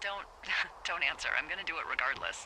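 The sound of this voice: A put-on character voice with a bright, sharp tone moves at a fairly quick pace through big pitch swings. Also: woman, low pitch for a woman.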